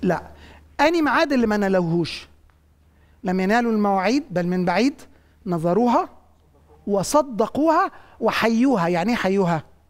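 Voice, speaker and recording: A man speaks at a moderate pace with a high pitch and lively intonation. He takes long, frequent pauses. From Egypt. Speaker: pastor and bible teacher; pastor, bible teacher. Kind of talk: bible teaching with studio audience. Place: studio.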